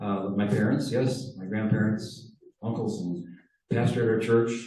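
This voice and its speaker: A medium-pitched man in a Wisconsin accent, with audible room echo. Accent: Upper Midwest (Wisconsin). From Wisconsin, Door County. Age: 70s. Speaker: car club presenter. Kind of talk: presentation to a club audience. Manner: hesitant, many fillers.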